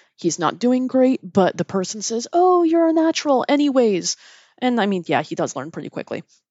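At a fairly quick pace, a woman with an unremarkable speaking voice talks using lively intonation. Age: 30s. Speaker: podcast host. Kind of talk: solo commentary.

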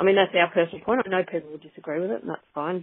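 There is an Australian accent in this woman's speech. She talks in a fairly low pitch. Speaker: cattle breeder. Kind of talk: interview.

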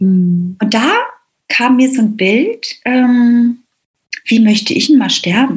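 A woman's high-pitched voice at a very slow pace, with long, frequent pauses, very even loudness and ordinary pitch variation. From East Germany. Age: 50s. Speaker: business mentor. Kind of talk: interview.

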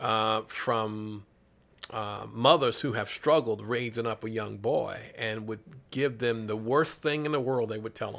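Speaking with a Southern US accent, a man at medium pitch talks at a fairly slow pace with fairly even intonation on a very clean recording with a silent background. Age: 50s. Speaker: sports ministry director and pastor. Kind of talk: casual interview chat.

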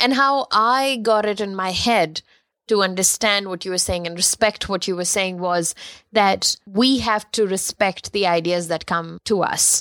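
A woman speaks at a fairly slow pace in a medium pitch with ordinary pitch variation. The very clean recording is dry and close, with no echo and a silent background. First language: not English. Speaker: podcast co-host, photographer. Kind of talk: casual chat.

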